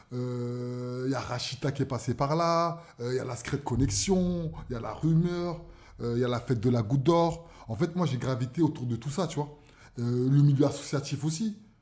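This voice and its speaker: A man speaks with a Parisian accent, his voice somewhat breathy and his pitch varying in an ordinary way. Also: medium pitch for a man, moderate pace. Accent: Parisian (titi parisien). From Paris, 18th arrondissement (Barbès). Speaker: cultural entrepreneur. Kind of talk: radio interview. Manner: hesitant, many fillers.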